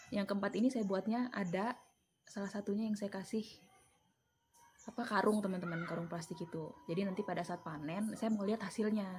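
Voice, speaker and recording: The pace is fairly quick. Pitch variation is ordinary. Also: woman, medium pitch for a woman. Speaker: vlogger and home mushroom grower. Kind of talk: casual vlog explanation. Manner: casual, chatty.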